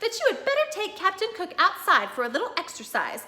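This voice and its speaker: A woman puts on a squeaky character voice at an extremely high pitch, with very wide pitch swings. She speaks at a fairly quick pace. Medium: read story. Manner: old-fashioned, prim.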